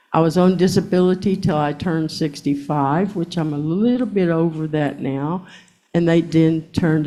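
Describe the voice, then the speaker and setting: Very deep and low, a woman's dark, mellow voice moves at a moderate pace with ordinary pitch variation. Audible room echo surrounds her. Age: 60s. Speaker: court witness. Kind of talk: court testimony. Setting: courtroom. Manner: defensive.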